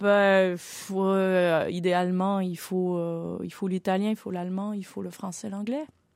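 Very slowly, a woman speaks at medium pitch with fairly even intonation. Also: very clean recording, silent background. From Quebec. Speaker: opera singer. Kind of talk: interview.

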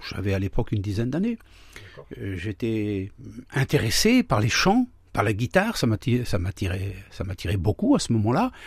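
With lively intonation and a somewhat breathy, medium-pitched voice, a man speaks at a moderate pace in a very clean recording with a silent background and a dry, close sound with no echo. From France, Laon (Aisne), Traveller community. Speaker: pastor. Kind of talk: testimony. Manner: halting.

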